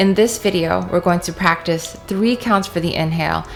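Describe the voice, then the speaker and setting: There is music in the background. A woman talks at a moderate pace. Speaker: meditation guide. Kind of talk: spoken introduction to a meditation exercise.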